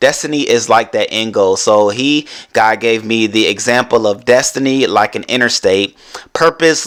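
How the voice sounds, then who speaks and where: The pitch varies in an ordinary way. Noticeable background noise can be heard. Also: man. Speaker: podcast host. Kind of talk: motivational podcast monologue. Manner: fast; animated.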